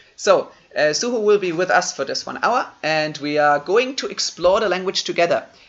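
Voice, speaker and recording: A man talks at a moderate pace with a German accent. His intonation is lively. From Germany. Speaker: online seminar host. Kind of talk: live online seminar introduction. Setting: live stream video call. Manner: casual, conversational.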